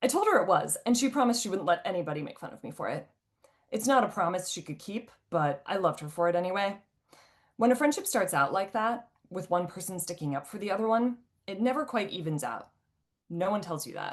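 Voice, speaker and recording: Speaking at a very fast pace, a woman uses a medium pitch and lively intonation, with big swings in loudness. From US Midwest, Ohio. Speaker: author. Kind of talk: reading aloud.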